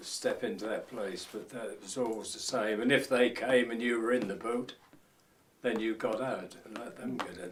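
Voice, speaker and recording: Here a man talks with a Norfolk accent. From Norfolk, England (Walsingham). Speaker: lifeboat crewman and fisherman. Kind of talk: oral history interview.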